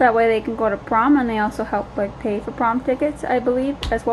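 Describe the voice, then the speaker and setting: A speaker with a Minnesota accent whose intonation stays fairly even. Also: woman. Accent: Minnesota dialect with filler words. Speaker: vlogger. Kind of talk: casual vlog chat. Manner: many filler words.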